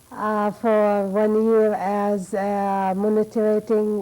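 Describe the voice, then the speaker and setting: A woman's medium-pitched voice, dark and mellow in tone, with an Arabic accent. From Jordan. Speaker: cultural awareness coordinator. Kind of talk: interview. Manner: halting.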